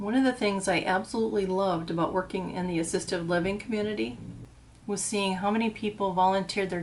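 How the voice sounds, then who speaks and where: A woman talks at a fairly quick pace in an unremarkable speaking voice, with a medium pitch and ordinary pitch variation. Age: 60s. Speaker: assisted living front desk worker. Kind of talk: nostalgic storytelling to camera.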